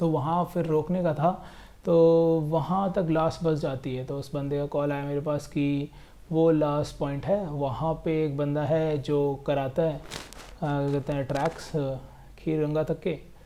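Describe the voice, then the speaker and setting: A man speaks with a fairly high voice. His intonation is monotone and flat. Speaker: travel vlogger. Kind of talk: casual vlog narration.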